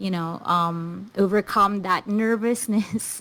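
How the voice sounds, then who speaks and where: In a Filipino accent, a woman talks at a medium pitch with ordinary pitch variation. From Philippines. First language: Filipino language. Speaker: stand-up comedian. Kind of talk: casual interview chat. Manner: halting, with repeated words.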